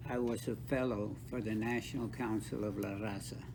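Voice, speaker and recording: This man has a medium pitch and an American accent, speaking at a fairly slow pace with fairly even intonation. Room echo is audible. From South Texas, Rio Grande Valley (Brownsville). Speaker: author and counselor with doctorate. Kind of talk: interview.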